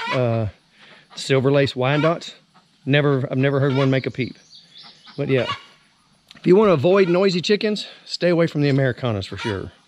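The speaker's intonation is lively, with noticeable background noise behind the voice. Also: man, dry sound with no echo. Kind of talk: casual vlog chat. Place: farm machine. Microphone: phone near.

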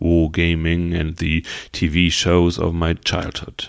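A man speaks in a German accent at a very slow pace. His pitch is very deep and low. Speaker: podcaster. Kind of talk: podcast monologue.

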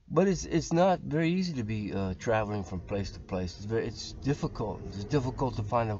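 Somewhat breathy male speech at a moderate pace, with noticeable background noise. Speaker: religious video blogger. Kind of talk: casual religious talk. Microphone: webcam.

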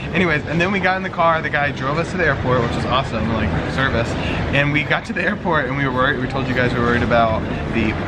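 A man talks at a very fast pace. Loud background noise fills the clip. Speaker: travel vlogger. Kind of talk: casual vlog chat. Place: station. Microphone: phone near.

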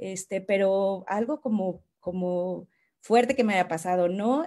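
A woman with a dark, mellow tone speaks over a quiet background. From Mexico. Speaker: creative director at ad agency. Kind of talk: panel discussion, casual. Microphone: video call.

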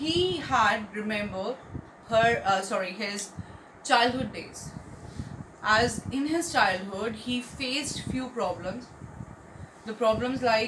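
At a very slow pace, a woman speaks with ordinary pitch variation. Noticeable background noise is present. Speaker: teacher. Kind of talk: lecture. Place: home room. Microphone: phone near.

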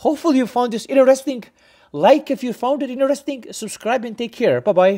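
The speech moves at a fairly quick pace. The background is quiet. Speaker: cycling channel host. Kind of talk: tutorial. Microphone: phone near.

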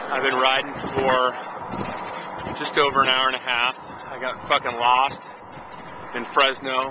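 Over noticeable background noise, a man speaks fairly slowly in a flat monotone, the sound dry with no echo. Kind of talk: casual vlog chat. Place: bicycle.

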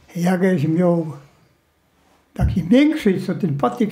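With a Silesian accent, a man with a high pitch speaks very slowly in a dark, mellow tone with lively intonation. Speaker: World War II survivor, former forced labourer in a mine. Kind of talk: interview answer. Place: home room.

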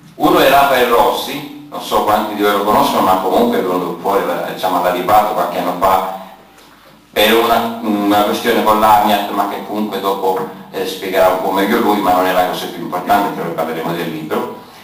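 A man's fairly low voice at a fairly quick pace, with fairly even intonation and audible room echo. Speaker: event moderator. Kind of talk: moderating a public debate. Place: hall. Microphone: camera far.

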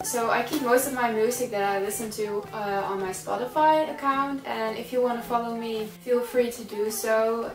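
A woman at a moderate pace with hardly any pauses and ordinary pitch variation, audible room echo and light background noise behind her. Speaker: vlogger. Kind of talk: casual vlog chat. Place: home room. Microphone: camera far.

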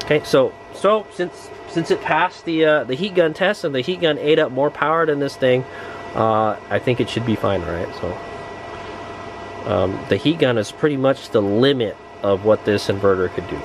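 A man speaks at a moderate pace with very wide pitch swings. The sound is dry with no echo, and there is noticeable background noise. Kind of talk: casual tutorial commentary. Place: car. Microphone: phone near.

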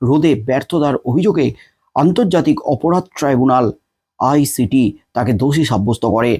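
A man with a fairly high pitch speaks in a dark, mellow tone with ordinary pitch variation and very even loudness. The sound is dry and close with no echo, on a very clean recording with a silent background. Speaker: online news narrator. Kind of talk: news narration.

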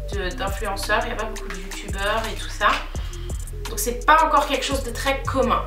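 Faint music plays in the background as a woman talks. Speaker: beauty vlogger. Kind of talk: casual vlog chat. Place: home room. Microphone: phone near.

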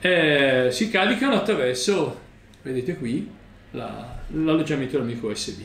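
A man speaks at medium pitch and a moderate pace, with vocal fry. His tone is fairly bright and his intonation lively.

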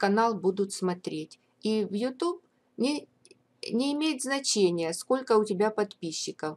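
A woman with a fairly high voice talks at a very slow pace, leaving long, frequent pauses. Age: old. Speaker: YouTuber. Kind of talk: vlog monologue.

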